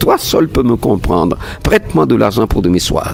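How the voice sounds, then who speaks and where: A man is speaking. Music plays in the background. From Togo. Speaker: storyteller. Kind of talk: folk tale narration.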